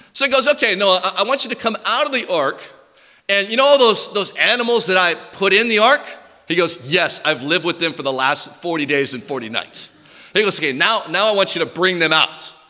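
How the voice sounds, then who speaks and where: A man's raised, projected voice with very wide pitch swings, at a fairly quick pace against a quiet background. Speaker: preacher. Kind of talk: sermon. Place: church. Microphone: podium.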